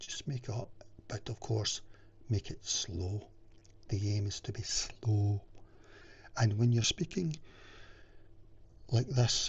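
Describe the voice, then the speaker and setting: A man talks at a very slow pace, with long, frequent pauses. His voice is somewhat breathy, with ordinary pitch variation. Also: medium pitch for a man. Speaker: wellness vlogger. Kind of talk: casual talking-head advice video.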